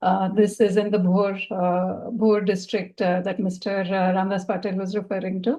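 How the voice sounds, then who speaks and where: In a Marathi accent, the speaker uses a dark, mellow tone and monotone, flat intonation at a moderate pace with hardly any pauses. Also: woman, medium pitch for a woman. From India, Maharashtra (Pune). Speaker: donor. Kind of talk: panel discussion. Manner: halting, many fillers.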